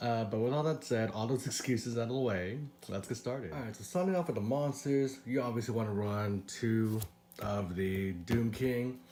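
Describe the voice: A man with a raspy voice and a dark, mellow tone talks at a medium pitch and a moderate pace, with ordinary pitch variation and audible room echo.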